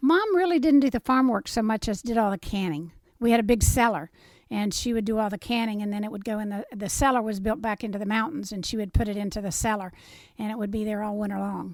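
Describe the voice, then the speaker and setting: Speaking very fast with an Appalachian accent, a woman uses a fairly high pitch and ordinary pitch variation in a very clean recording with a silent background. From southern West Virginia. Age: 70s. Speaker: interviewee recounting family history. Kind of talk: oral history interview.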